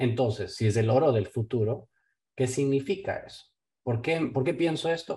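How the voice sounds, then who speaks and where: A man's somewhat breathy voice, dark and mellow in tone, medium in pitch, with ordinary pitch variation at a moderate pace. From Ecuador. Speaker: investment firm owner. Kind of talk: casual interview. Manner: hesitant, with many fillers.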